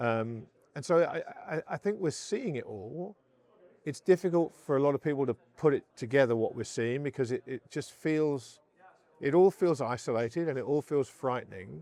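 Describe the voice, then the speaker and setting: A man's dark, mellow voice moves at a moderate pace with lively intonation, the sound dry and close with no echo. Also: fairly high pitch for a man. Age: 50s. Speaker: investor and gold advocate. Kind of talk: interview. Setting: conference on-site. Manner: halting, repeats words.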